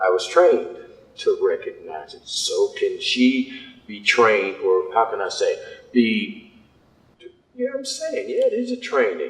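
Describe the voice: Big pitch swings at a fairly slow pace. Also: man, fairly low pitch for a man.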